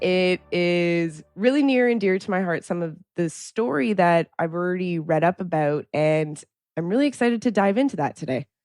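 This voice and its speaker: A woman with a Canadian accent speaks at a moderate pace, her pitch fairly low and her intonation lively. Music plays in the background. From Canada. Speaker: podcast host, dentist. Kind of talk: podcast interview.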